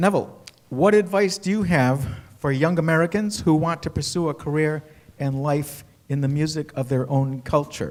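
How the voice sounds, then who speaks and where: With a New England accent, a man speaks with ordinary pitch variation. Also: fairly high pitch for a man, moderate pace. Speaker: panel moderator. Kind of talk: panel interview.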